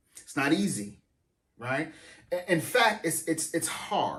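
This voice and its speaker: A man's fairly high, bright, sharp voice with vocal fry and very wide pitch swings, at a fairly slow pace, with audible room echo. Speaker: pastor. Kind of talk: sermon. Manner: halting, repeats words.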